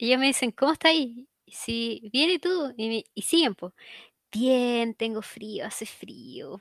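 In a Chilean accent, a woman talks at a very slow pace with a high pitch and lively intonation. Her loudness swings widely, and the very clean recording has a silent background and a dry, close sound with no echo. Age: 20s. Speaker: podcast co-host. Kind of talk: casual chat.

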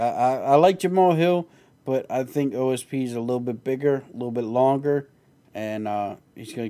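A man's dark, mellow tone moves at a moderate pace. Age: 30s. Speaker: podcast host. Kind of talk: casual chat.

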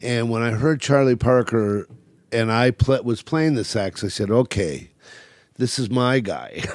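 In a plain, everyday voice, a man with a General American accent talks at a fairly slow pace, with medium pitch and ordinary pitch variation. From California. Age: 60s. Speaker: jazz club owner. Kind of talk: casual interview. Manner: talkative, rambling.

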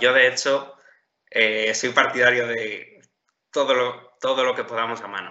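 A man talks at a fairly slow pace and medium pitch in a monotone, flat intonation. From Spain, Ciudad Real (La Mancha). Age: 20s. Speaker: top-scoring civil service exam candidate. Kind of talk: interview. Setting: call. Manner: hesitant, with repetitions.

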